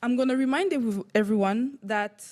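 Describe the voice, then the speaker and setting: A woman's fairly high voice in a Quebec accent, fairly slow, with ordinary pitch variation. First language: French. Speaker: council chair. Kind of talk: chairing a council meeting. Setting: municipal council meeting.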